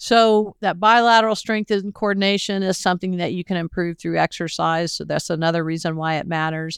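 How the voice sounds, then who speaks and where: A woman's plain, everyday voice at a fairly quick pace, ordinary pitch variation, dry and close with no echo, on a very clean recording with a silent background. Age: 60s. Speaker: podcast host and horse trainer. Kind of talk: solo podcast talk.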